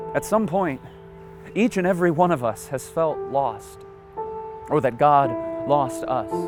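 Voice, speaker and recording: Music plays in the background as a man speaks. His voice is high in pitch and his pace is fairly slow. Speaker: spoken word poet, speaker; former Broadway actor. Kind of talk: spoken word poetry performance.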